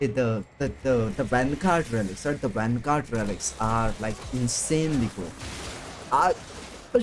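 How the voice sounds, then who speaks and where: A man speaks at a moderate pace with a non-native accent. Noticeable background noise can be heard. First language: not English. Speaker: VTuber streamer. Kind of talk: casual gaming livestream chat. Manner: halting, many repetitions; self-described broken English.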